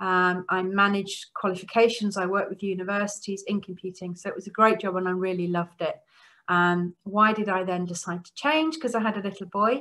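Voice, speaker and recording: A woman with an English accent talks at a fairly quick pace, with a medium pitch and a bright, sharp tone. Her intonation stays fairly even while her loudness swings widely. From Norway and Netherlands, English family. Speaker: computing lecturer. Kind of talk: keynote talk. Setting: virtual conference. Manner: frequent um fillers.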